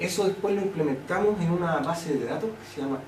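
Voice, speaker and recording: Amid noticeable background noise and audible room echo, a man talks at a fairly quick pace with ordinary pitch variation. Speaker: linguistics professor. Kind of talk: academic talk. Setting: colloquium with audience. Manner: fast.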